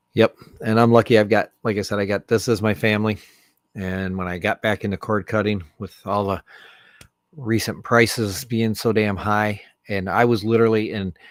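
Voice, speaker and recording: Here a man talks at a moderate pace in a fairly low, monotone voice with flat intonation. The recording is very clean, with a silent background and a dry, close sound free of echo. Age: 60s. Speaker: livestreamer. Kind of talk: casual chat. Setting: livestream. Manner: halting.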